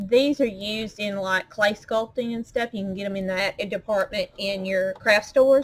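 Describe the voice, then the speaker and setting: A woman with a strong Southern US accent speaks at medium pitch. Her intonation is fairly even, and she hardly pauses. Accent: strong Southern drawl. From US South, Arkansas. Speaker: crafter. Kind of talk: tutorial. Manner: casual, chatty.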